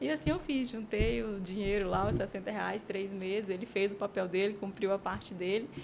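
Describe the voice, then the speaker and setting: A woman's normal speaking voice at medium pitch, moderate pace, ordinary pitch variation and hardly any pauses. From Piauí, northeastern Brazil (Teresina). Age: 30s. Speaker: team manager. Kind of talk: interview testimony.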